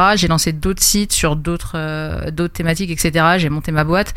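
Noticeable background noise sits under a monotone, flat intonation. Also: woman. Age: 20s. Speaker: streamer and fantasy football card manager. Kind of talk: casual interview.

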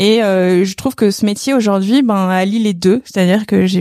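A woman with a dark, mellow tone and a medium pitch speaks fairly slowly with fairly even intonation on a very clean recording with a silent background. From Paris region, France. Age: 30s. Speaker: sales director. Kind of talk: testimony. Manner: hesitant, many fillers.

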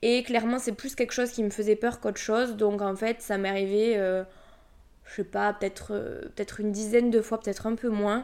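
Speaking with a Toulouse accent, a woman with a fairly high pitch talks at a fairly quick pace in monotone, flat intonation, on a very clean recording with a silent background. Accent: southern French (Toulouse). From Toulouse area, southern France. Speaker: podcast host, energy healer. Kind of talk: casual monologue.

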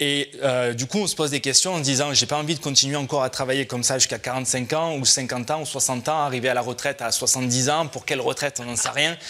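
A man at medium pitch with fairly even intonation and a fairly quick pace, amid noticeable background noise. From southwest France. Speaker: real estate investment trainer, founder. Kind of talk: radio interview.

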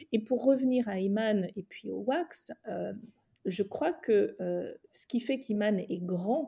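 A woman speaks at medium pitch with ordinary pitch variation. Her tone is dark and mellow, and somewhat breathy. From West Africa. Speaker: journalist and fashion entrepreneur. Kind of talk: interview conversation.

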